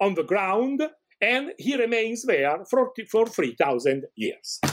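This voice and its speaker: With an Italian accent, a man speaks at a high pitch and a very slow pace on a very clean recording with a silent background. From Italy. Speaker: professor of ancient Iranian studies. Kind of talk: interview, scholarly explanation. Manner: halting, many fillers.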